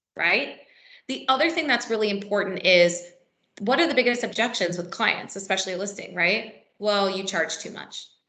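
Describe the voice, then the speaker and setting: With a bright, sharp tone and lively intonation, a woman talks at a moderate pace and medium pitch amid audible room echo. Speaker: real estate trainer. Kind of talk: workshop presentation. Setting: meeting room with live and virtual audience.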